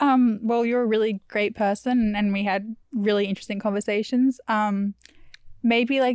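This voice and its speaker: A woman with a fairly high pitch talks at a moderate pace in a flat monotone, with a dry, close sound and no echo. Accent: Australian. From Australia. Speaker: podcast host. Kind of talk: casual chat.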